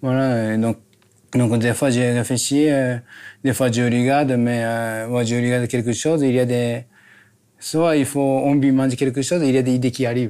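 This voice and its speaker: On a very clean recording with a silent background, a man with a dark, mellow tone and medium pitch speaks at a moderate pace in monotone, flat intonation with very even loudness. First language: Japanese (speaking French). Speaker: chef, restaurant owner. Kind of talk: casual chat. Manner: halting, non-native French.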